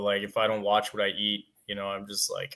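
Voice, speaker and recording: A man with a western Canadian accent, fairly low pitch and moderate pace. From Canada, Alberta. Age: 20s. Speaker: amateur bodybuilder. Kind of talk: casual interview chat.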